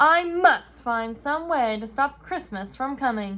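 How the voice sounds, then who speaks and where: A woman's put-on character voice, high-pitched and growling, with very wide pitch swings at a fairly slow pace. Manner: growling, snarling.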